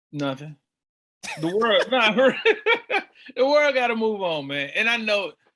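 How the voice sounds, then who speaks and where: With an American accent, a man talks at a fairly slow pace, leaving long, frequent pauses. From Charlotte, North Carolina, US South. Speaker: community organizer. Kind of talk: podcast interview. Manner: loud and boisterous.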